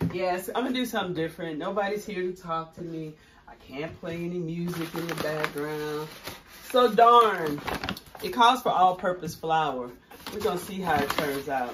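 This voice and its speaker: A woman speaks in a fairly low voice. Noticeable background noise can be heard. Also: moderate pace. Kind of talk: casual cooking tutorial. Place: kitchen. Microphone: phone near.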